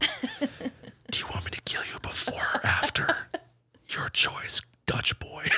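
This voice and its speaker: A put-on character voice whispers in a menacing tone at a fairly slow pace. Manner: whispering, menacing.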